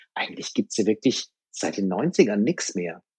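The sound is dry and close, with no echo. The pace is fairly quick. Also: man. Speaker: rock music DJ. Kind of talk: casual chat. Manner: determined.

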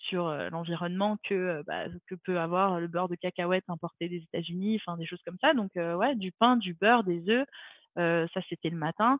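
A moderate pace with ordinary pitch variation. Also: woman, fairly low pitch for a woman. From France, Montpellier. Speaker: retired javelin thrower. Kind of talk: interview conversation. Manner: hesitant, many fillers.

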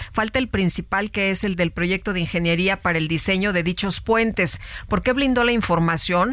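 A woman talks at a moderate pace and medium pitch with ordinary pitch variation and very even loudness, in a normal speaking voice. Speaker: radio co-host. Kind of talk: news radio interview.

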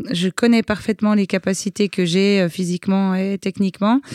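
A woman with a plain, everyday voice speaks at medium pitch with fairly even intonation. The recording is very clean and the background silent. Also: dry, close sound with no echo. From Switzerland. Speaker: extreme sports athlete. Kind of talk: interview.

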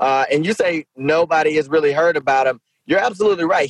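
A man with an American accent speaks in a normal speaking voice, fairly high-pitched, at a fairly quick pace with lively intonation, recorded dry and close with no echo. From Shreveport, Louisiana, US South. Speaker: mayor and Senate candidate. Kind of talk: podcast interview.

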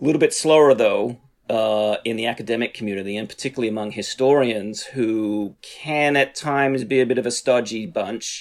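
Here a man talks with an American accent. His medium pitch has ordinary variation. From Australia. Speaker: historian and professor. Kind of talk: interview, academic explanation. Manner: hesitant, many fillers.

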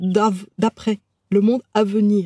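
In a dry, close sound with no echo, a woman speaks at a medium pitch with a dark, mellow tone. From France, childhood partly in Algeria. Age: 50s. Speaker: medium and therapist. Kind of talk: interview. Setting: in person. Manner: halting, many hesitations.

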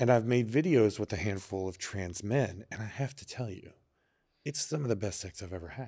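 A man with an American accent has an ordinary speaking voice, fairly low in pitch with ordinary pitch variation and big swings in loudness. The recording is very clean, with a silent background. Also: moderate pace. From Texas. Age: 40s. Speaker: adult film performer and entrepreneur. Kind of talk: casual interview chat. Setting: studio.

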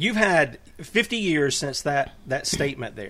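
A plain, everyday voice with lively intonation. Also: man. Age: 50s. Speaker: talk radio host. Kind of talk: interview. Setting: radio studio.

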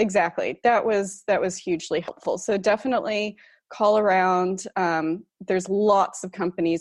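A woman with an American accent speaks with fairly even intonation, the sound dry and close with no echo over a quiet background. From US. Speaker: expat blogger. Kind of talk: interview.

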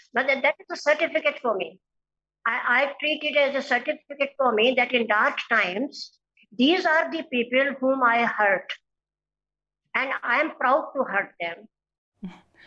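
Raised and projected, the voice has a bright, sharp tone, ordinary pitch variation and a fairly slow pace. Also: woman, high pitch for a woman. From India, Uttar Pradesh. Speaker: philosophy professor and social activist. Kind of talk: interview. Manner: halting, many filler uhs.

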